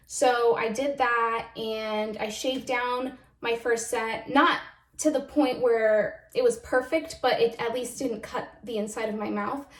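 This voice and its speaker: Noticeable background noise sits behind a woman speaking at a high pitch with fairly even intonation. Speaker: video blogger. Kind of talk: casual chat. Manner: casual, filler-heavy.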